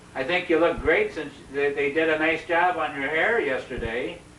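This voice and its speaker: A man speaks at a fairly slow pace and a high pitch with ordinary pitch variation. There is noticeable background noise. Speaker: former student interviewer. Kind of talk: interview questions.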